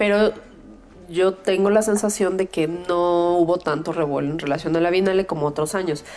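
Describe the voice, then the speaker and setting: The woman's intonation is fairly even. She keeps to a moderate pace. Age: 30s. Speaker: podcast host. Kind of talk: casual chat.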